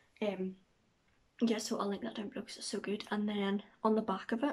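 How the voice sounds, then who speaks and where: The speaker has a Northern Irish accent and sounds somewhat breathy. The intonation is fairly even. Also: woman. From Northern Ireland. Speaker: vlogger. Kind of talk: casual vlog talk to camera. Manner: fast.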